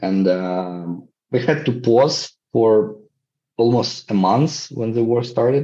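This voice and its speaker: Very slowly, a man with a Ukrainian accent speaks in a dark, mellow tone at a medium pitch with ordinary pitch variation. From Ukraine. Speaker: social entrepreneurship professor and NGO founder. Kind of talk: interview. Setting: video call. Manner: halting, frequent repetitions.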